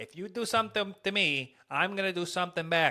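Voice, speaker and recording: Using a put-on character voice in a New York accent, a man speaks at a high pitch and a fairly quick pace on a very clean recording with a silent background. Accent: New York mobster. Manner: threatening.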